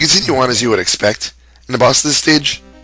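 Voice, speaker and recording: Music plays in the background as a man speaks at a fairly quick pace. His pitch is medium, with ordinary variation. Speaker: game reviewer. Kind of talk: video game review narration. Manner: casual, joking.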